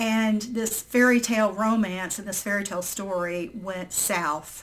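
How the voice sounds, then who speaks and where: A woman with an American accent and a plain, everyday voice speaks at a fairly slow pace with ordinary pitch variation. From southern Indiana, near Louisville. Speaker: birth mother. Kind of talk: personal testimony. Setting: remote call.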